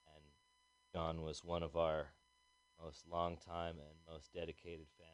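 A man speaks in a very deep, low pitch, his intonation monotone and flat. His loudness swings widely while the pace stays moderate. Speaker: radio host. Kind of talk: show announcement and memorial notice. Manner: informal, hesitant with fillers.

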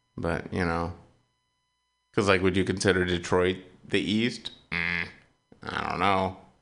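Music plays in the background as a man with a very deep, low voice talks at a fairly slow pace in a monotone, flat intonation, leaving long, frequent pauses. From eastern US Midwest. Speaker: community radio host. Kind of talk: casual chat. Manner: rambling, hesitant.

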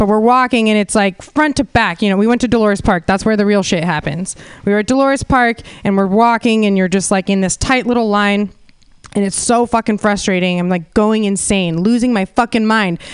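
A woman with an American accent speaks at a fairly quick pace in an ordinary speaking voice, at medium pitch with ordinary pitch variation and very even loudness, the sound dry and close with no echo. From California (Santa Cruz). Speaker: comedian. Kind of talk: stand-up. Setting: stage with audience.

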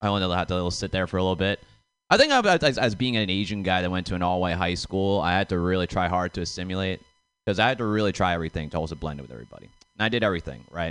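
Very fast speech in an American accent with ordinary pitch variation. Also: man, very deep, low pitch for a man. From suburb outside Boston. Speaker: comedian. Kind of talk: stand-up. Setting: stage with audience.

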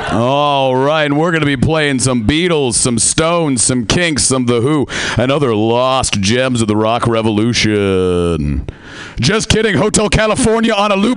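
Over noticeable background noise, a man with an American accent and a fairly high pitch speaks at a fairly slow pace, with very wide pitch swings and very even loudness. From US Pacific Northwest. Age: young. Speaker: comedian. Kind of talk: stand-up. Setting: stage with audience.

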